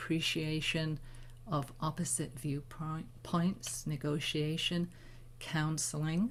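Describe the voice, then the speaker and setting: A woman with a very deep, low pitch speaks somewhat breathily at a very slow pace with ordinary pitch variation. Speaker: spiritual teacher leading new moon ceremony. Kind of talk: talk before guided meditation. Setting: live online stream.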